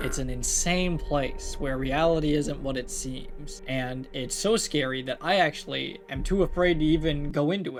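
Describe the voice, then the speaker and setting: Music plays in the background while the words come at a moderate pace. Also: man. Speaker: commentary YouTuber. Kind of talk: casual commentary reading reviews.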